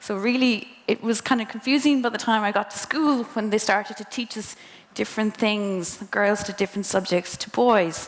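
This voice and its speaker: The speaker goes at a moderate pace with ordinary pitch variation and big swings in loudness. Noticeable background noise runs underneath. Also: woman, fairly high pitch for a woman. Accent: western Irish. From Ireland, County Mayo. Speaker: engineer speaking to students. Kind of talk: motivational talk to students. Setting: presentation to a live audience. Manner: casual, conversational.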